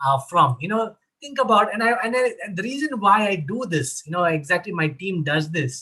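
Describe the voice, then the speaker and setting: Using a raised, projected voice, a man with a Keralan accent speaks at a high pitch with very wide pitch swings, a bright, sharp tone and a moderate pace, barely pausing at all. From Kerala, India. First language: Malayalam. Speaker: mental health advocate. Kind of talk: online panel discussion.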